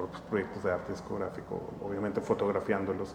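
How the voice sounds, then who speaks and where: Against noticeable background noise, a man with a fairly low pitch talks at a very fast pace. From Monterrey, northern Mexico. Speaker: graphic artist. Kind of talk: casual interview chat. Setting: at his home.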